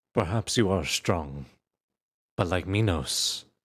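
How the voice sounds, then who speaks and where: Somewhat breathy and theatrical, a man takes on a menacing tone at a fairly slow pace in a very clean recording with a silent background. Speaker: voice actor performing a fictional character. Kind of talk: dramatic narration, in-character roleplay ASMR-style audio drama. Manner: theatrical, menacing, condescending, shifting from cold taunts to forceful outbursts.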